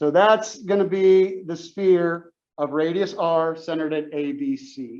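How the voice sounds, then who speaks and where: A man talks at a fairly slow pace in a high voice. His intonation is lively. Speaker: math teacher. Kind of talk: lecture.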